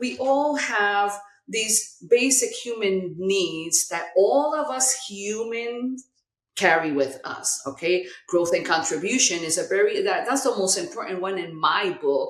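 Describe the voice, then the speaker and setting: A woman speaks fairly slowly at a medium pitch, her pitch swinging very widely. Audible room echo is present. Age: 60s. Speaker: life coach and healing nonprofit founder. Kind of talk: podcast interview.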